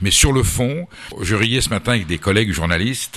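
A man's speech runs fairly quickly, its pitch varying in an ordinary way. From France, Basque Country. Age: 60s. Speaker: food journalist and politician. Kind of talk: radio interview.

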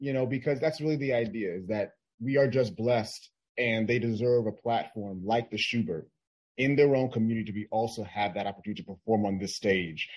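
A man with a plain, everyday voice talks at a medium pitch and a fairly quick pace, with ordinary pitch variation. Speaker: theater staff member. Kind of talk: radio interview.

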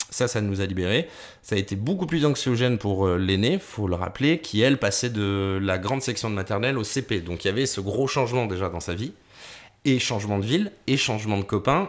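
A man's normal speaking voice at a fairly quick pace, with ordinary pitch variation. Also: fairly low pitch for a man. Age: 30s. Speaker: podcast co-host and radio presenter. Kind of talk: casual chat.

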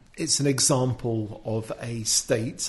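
This man has a British accent, a medium pitch, fairly even intonation and a somewhat breathy quality. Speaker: commentator. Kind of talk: casual discussion of an article. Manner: hesitant, filler words.

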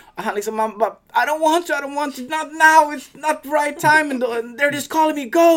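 A man talks in an extremely high voice with ordinary pitch variation and big swings in loudness. Background noise is noticeable. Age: 30s. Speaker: MMA fighter. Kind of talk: casual chat. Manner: talkative.

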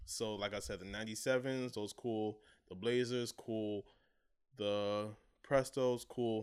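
On a very clean recording with a silent background, a man speaks in an American accent at a fairly low pitch with monotone, flat intonation. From Brooklyn, New York. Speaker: sneaker podcast co-host. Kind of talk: casual chat.

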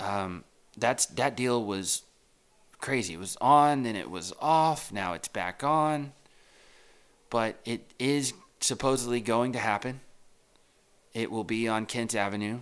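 Over a silent background in a very clean recording, a man with an American accent speaks at a medium pitch and a fairly slow pace, with ordinary pitch variation and long, frequent pauses. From Texas. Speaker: real estate agent podcaster. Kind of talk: casual solo monologue. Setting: home recording. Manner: rambling, conversational.

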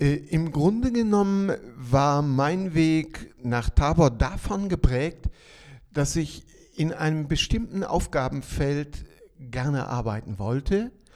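Speaking at a very slow pace, a man uses a fairly high pitch and lively intonation. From Ostwestfalen, near Bielefeld, Germany. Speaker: city missionary pastor, former missionary. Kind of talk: interview.

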